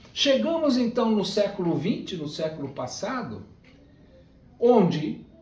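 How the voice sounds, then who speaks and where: Speaking at a very slow pace, a man with a high pitch makes very wide pitch swings amid audible room echo. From Brazil, Rio de Janeiro. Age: 60s. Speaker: spiritist lecturer. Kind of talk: lecture.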